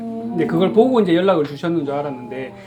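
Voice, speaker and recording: Lively intonation from a man, with music in the background. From Busan, Korea. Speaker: sign language praise performer, church deacon. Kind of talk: testimony.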